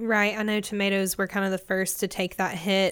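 On a very clean recording with a silent background, a woman with a Southern US accent speaks at a medium pitch in a bright, sharp tone. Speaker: podcast host. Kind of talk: scripted news and market report reading, then interview.

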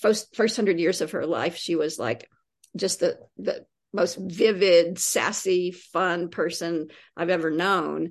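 Speaking at a very slow pace, a woman with an American accent uses a fairly low pitch. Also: ordinary pitch variation. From US South, East Tennessee. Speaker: poet and creative writing teacher. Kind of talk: interview conversation.

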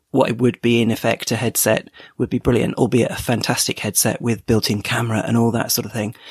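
With a British accent and a medium-pitched voice, a man talks at a fairly quick pace in a dry, close sound with no echo. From UK. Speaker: tech podcast host, listener contributor. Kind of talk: recorded voice message.

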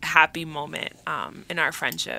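The woman's voice has a bright, sharp tone. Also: very clean recording, silent background. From Dominican Republic. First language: Spanish. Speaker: nonprofit mentoring program staff. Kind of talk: radio interview.

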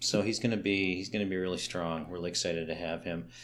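A man speaks with a fairly low pitch and ordinary pitch variation. Audible room echo surrounds his voice. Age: 50s. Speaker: community event organizer. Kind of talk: casual interview. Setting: arts center during renovations.

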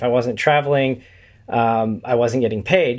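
This man has an American accent and a medium pitch. He talks at a fairly quick pace with fairly even intonation. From Indiana, US Midwest. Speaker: podcast host and network founder. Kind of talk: casual interview.

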